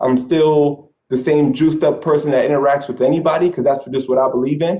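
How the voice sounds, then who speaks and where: Fairly even intonation accompanies a fairly quick pace of speech. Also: man. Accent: New York. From Brooklyn, New York. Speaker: sports management alumnus, aspiring athletic director. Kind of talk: panel discussion. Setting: video call.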